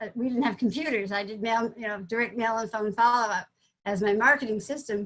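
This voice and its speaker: A woman with an American accent speaks at a fairly high pitch. Her pace is fairly quick. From US Northeast, Vermont. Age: 60s. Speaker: psychologist, business founder. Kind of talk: testimony. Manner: halting, many false starts.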